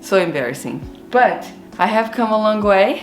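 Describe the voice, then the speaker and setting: A woman speaks with a Brazilian accent and ordinary pitch variation. Audible room echo and noticeable background noise fill the recording. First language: Portuguese. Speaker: gardening and cooking vlogger. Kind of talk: personal storytelling to camera.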